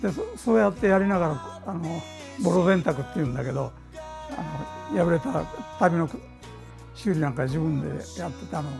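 Clear music plays behind a man who speaks at a moderate pace with long, frequent pauses. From Ehime, Japan. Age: 80s+. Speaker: tailor. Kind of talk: interview answer. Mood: warm, smiling. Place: workshop. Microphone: lapel.

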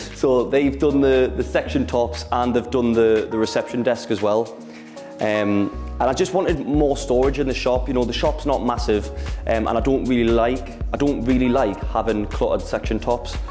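Over clear background music, a man talks at a moderate pace with very even loudness. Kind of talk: casual tour talk. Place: shop.

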